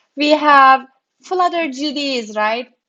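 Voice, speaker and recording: Speaking with a Turkish accent, a woman uses a high pitch and lively intonation. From Turkey. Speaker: developer relations program manager. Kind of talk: interview.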